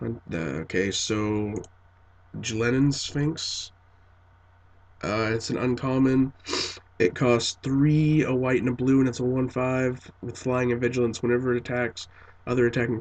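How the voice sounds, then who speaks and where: Here a man talks at a moderate pace. His medium pitch shows ordinary variation. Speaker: card game video creator. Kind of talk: casual spoiler review. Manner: halting, many fillers.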